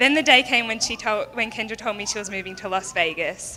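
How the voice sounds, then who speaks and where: Speaking at a very fast pace in an Australian accent, a woman uses a fairly high pitch with ordinary pitch variation. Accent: Australian, noticeable. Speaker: bride's friend giving a wedding speech. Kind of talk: wedding toast speech. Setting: wedding reception with audience.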